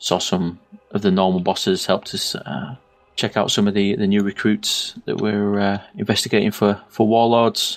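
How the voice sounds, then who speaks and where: A man with a northern English accent, medium in pitch, lively in intonation. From northern England. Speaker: podcast co-host. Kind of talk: casual chat.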